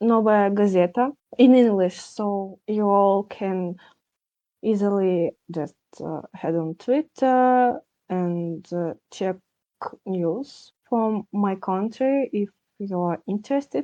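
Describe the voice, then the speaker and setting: A woman with a Russian accent speaks at a very slow pace in a dark, mellow tone against a quiet background. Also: medium pitch for a woman, ordinary pitch variation. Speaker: podcast guest. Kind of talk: candid discussion. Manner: halting.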